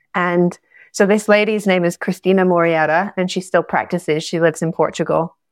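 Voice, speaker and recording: A woman with a Scottish accent, fairly low pitch, moderate pace, dry, close sound with no echo, and a very clean recording with a silent background. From Scotland. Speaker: astrologer and yoga teacher. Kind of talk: interview conversation.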